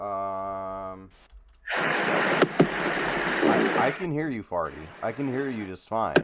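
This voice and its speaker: Speaking at a very slow pace, a man has a fairly low pitch with ordinary pitch variation. Noticeable background noise runs underneath. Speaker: livestream co-host. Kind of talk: casual chat.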